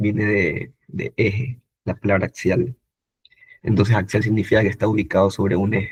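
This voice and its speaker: A man talks at a moderate pace with a fairly low pitch. His voice is somewhat breathy. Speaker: medical student tutor. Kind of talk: online lecture. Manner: animated.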